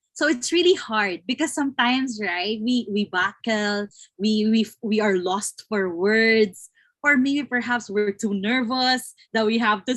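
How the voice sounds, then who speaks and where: Speaking at a fairly slow pace, a woman with a Filipino accent uses a fairly high pitch and ordinary pitch variation. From Philippines. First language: Tagalog. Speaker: webinar host. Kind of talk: live interview. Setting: online live stream.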